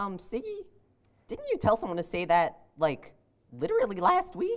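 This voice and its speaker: A female-sounding cartoonish character voice speaks at a moderate pace. Its pitch is fairly high. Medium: puppet show. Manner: hesitant, earnest.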